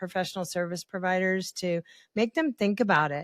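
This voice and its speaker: A woman with an unremarkable speaking voice at a medium pitch, fairly quick pace and ordinary pitch variation, in a dry, close sound with no echo and a very clean recording over a silent background. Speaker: podcast host. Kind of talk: podcast interview, conversational. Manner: chatty, upbeat, humorous.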